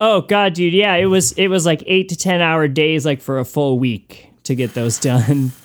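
A man with an American accent and an ordinary speaking voice talks at a moderate pace with hardly any pauses, using a fairly high pitch and lively intonation. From US Northeast, Connecticut. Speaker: musician and record maker. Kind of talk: casual interview.

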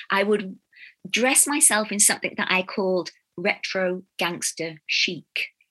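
A woman with a Birmingham accent speaks at a fairly slow pace in a bright, sharp tone, her loudness very even and the sound dry and close with no echo. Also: medium pitch for a woman, ordinary pitch variation. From Birmingham, England. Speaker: storyteller and consultant. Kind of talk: interview. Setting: video call.

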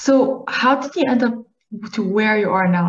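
A woman with a fairly high pitch and ordinary pitch variation talks in an unremarkable speaking voice. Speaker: podcast host. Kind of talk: interview conversation.

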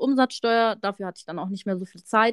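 A woman's normal speaking voice, fairly high in pitch with ordinary pitch variation, dry and close with no echo on a very clean recording with a silent background. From Munich, Bavaria. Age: 30s. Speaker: tax professional, podcast co-host. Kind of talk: casual chat.

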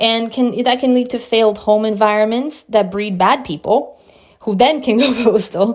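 A woman speaks in a plain, everyday voice at a moderate pace. Her pitch is fairly high and varies in an ordinary way. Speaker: solo podcast host. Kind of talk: solo monologue podcast.

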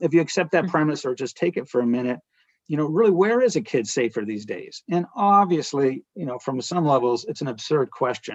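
Speech in an American accent moves at a fairly quick pace with very wide pitch swings. The sound is dry and close, with no echo. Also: man, fairly high pitch for a man. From US Northeast, rural northern New Hampshire. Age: 40s. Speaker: artist, former lawyer. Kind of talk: interview.

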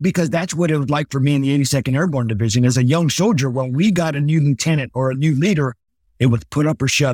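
Speaking very fast with an American accent, a man sounds animated and somewhat breathy, with ordinary pitch variation, in a dry, close sound with no echo. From Los Angeles, California. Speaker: retired army officer, motivational speaker. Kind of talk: interview storytelling. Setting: video call.

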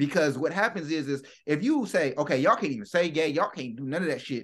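A man's fairly high voice, animated in tone and lively in intonation, against a quiet background. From United States. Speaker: podcast co-host. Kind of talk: casual chat.

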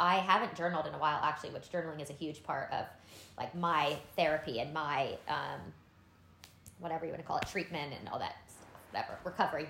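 Speaking at a very fast pace yet with long, frequent pauses, a woman uses a very deep, low pitch and fairly even intonation, with audible room echo. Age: 30s. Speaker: podcast co-host. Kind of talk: casual chat.

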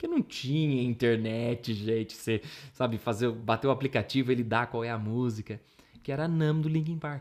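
In a normal speaking voice, a man talks at a moderate pace. His pitch is medium, with ordinary variation. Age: 30s. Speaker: musician and teacher. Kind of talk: interview.

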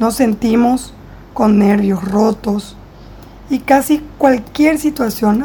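Over noticeable background noise, a woman with a fairly high pitch speaks very slowly, her pitch varying in an ordinary way. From Paraguay. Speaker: clinical psychologist. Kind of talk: interview, explanatory. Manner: formal.

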